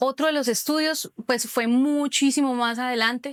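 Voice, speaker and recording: A woman speaks in a high pitch at a moderate pace with a Cúcuta accent. The sound is dry and close, with no echo. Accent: Cúcuta accent, noticeable. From Colombia, Cúcuta. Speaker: social communicator, digital marketer. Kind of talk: interview. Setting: cultural center.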